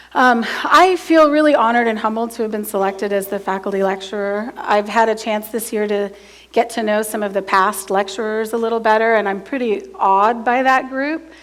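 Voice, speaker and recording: Speaking at a fairly high pitch, a woman moves at a fairly quick pace with hardly any pauses and ordinary pitch variation. Noticeable background noise runs underneath. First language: American Sign Language. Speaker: college math professor. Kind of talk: lecture.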